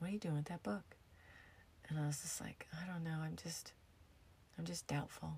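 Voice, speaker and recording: Very deep and low, a woman's somewhat breathy voice carries an American accent. She talks at a very fast pace with fairly even intonation. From US, upstate New York and Arizona. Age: 50s. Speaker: podcast host, yoga therapist and former hairdresser. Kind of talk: casual storytelling monologue.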